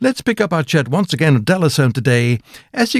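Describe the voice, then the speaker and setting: A man talks at a fairly high pitch and a fairly quick pace. His pitch swings very widely, and there is vocal fry. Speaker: radio host. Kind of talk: radio interview.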